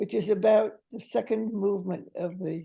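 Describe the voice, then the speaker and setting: With vocal fry and a dark, mellow tone, a woman speaks at a moderate pace and ordinary pitch variation. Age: 80s+. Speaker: poet and retired teacher. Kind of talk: interview answer.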